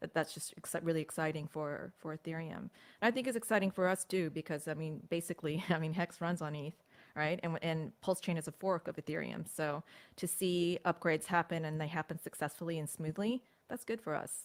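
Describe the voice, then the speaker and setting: With an American accent, a woman speaks fairly low at a fairly quick pace with ordinary pitch variation. The sound is dry and close with no echo, on a very clean recording with a silent background. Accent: sounds American. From United States. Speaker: crypto commentator. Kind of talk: casual livestream chat.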